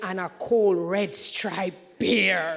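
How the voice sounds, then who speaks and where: Noticeable background noise accompanies a woman speaking in an animated tone. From Jamaica. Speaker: event host. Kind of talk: conference hosting speech.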